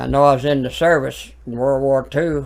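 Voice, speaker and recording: Fairly even intonation from a man at a mid-range pitch. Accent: Alabama. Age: 80s+. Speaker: preacher. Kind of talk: casual interview.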